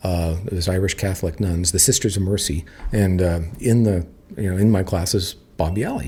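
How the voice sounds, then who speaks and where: Speaking with a US West Coast accent, the man has a very deep, low pitch and ordinary pitch variation. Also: fairly quick pace. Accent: US West Coast American. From Napa, California, US. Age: 50s. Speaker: winery co-owner. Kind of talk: casual interview. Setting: at the winery. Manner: hesitant, many filler words.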